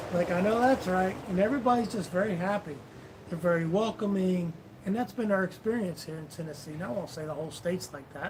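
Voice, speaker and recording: A man with a high pitch and ordinary pitch variation speaks at a very fast pace. Noticeable background noise sits behind him. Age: 50s. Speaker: vlogger, live stream co-host. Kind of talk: casual live stream chat.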